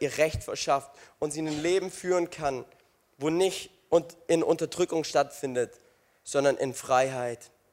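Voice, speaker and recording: This man has a high-pitched voice, ordinary pitch variation, and a moderate pace. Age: 20s. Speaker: youth pastor. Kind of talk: sermon. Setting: stage with audience. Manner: animated, energetic; interactive with the audience, exhortative.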